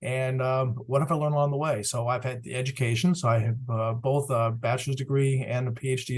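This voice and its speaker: A man's somewhat breathy voice with an American accent and fairly even intonation. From Massachusetts, US Northeast. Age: 60s. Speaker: chemical industry executive. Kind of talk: webinar talk. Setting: online webinar. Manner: halting, many fillers.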